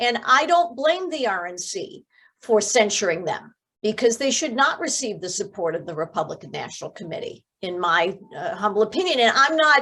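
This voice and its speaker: Her voice, fairly high in pitch, moves at a moderate pace through very wide pitch swings and big swings in loudness. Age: 60s. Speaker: former member of Congress, physician. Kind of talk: political talk show discussion. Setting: podcast.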